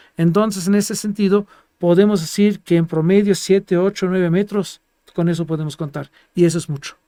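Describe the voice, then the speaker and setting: A man with a non-native accent speaks at a fairly quick pace in a high voice with a dark, mellow tone. His intonation is fairly even, and the sound is dry and close with no echo. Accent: foreign accent in Spanish. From Germany, Greek family. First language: Greek or German (speaking Spanish). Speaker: geologist. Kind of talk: interview. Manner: halting.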